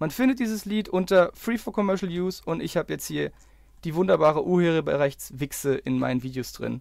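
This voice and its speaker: A man talks at a fairly quick pace on a very clean recording, the background silent. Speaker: YouTuber. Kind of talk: angry rant, screen-recorded video commentary. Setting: screen-recorded video, voiceover. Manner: fuming and sarcastic, swearing, clipped and sharp; sarcastically jokey with bursts of swearing and impatient muttering.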